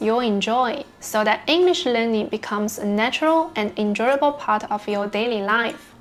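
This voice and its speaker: A woman with a Chinese accent speaks at a moderate pace in a fairly high pitch, her pitch varying in an ordinary way against noticeable background noise. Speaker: English learner vlogger. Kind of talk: scripted narration.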